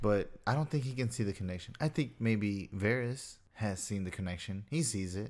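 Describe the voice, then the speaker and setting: A man with a normal speaking voice talks at a moderate pace and a fairly low pitch. His pitch varies in an ordinary way, and he hardly pauses. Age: 20s. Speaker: podcast co-host. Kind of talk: casual chat.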